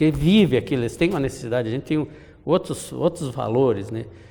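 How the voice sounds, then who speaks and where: This man talks with lively intonation at a medium pitch. Vocal fry runs through his voice. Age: 80s+. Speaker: insurance sales manager, retiree. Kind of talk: interview.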